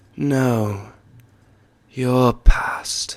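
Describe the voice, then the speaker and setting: A man puts on a character voice at a medium pitch. He is soft-spoken throughout. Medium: read story. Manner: calm and solemn.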